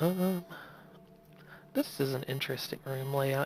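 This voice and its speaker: A soft-spoken voice comes through with music in the background. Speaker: game streamer. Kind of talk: gameplay commentary. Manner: casual. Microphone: quiet voice volume, already turned all the way up.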